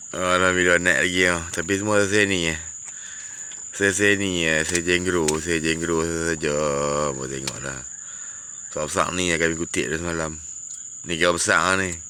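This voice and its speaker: Amid noticeable background noise and audible room echo, a man with a very deep, low pitch speaks fairly slowly, using fairly even intonation and long, frequent pauses. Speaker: fishing vlogger. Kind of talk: casual vlog narration. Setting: outdoors by river at night.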